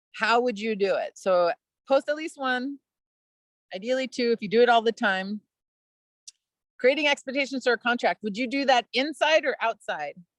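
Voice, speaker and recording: With a high pitch and ordinary pitch variation, a woman talks at a moderate pace with long, frequent pauses, the sound dry and close with no echo. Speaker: outdoor education presenter. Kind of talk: webinar presentation.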